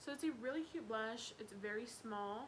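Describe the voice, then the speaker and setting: Against noticeable background noise and audible room echo, a woman speaks at a fairly slow pace with ordinary pitch variation. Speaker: beauty vlogger. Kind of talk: casual product review monologue. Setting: home living room.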